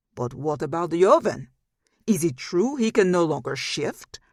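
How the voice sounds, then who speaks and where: Growling in a put-on character voice, a man speaks at a moderate pace with a high pitch. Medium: read story. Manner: smug, accusing.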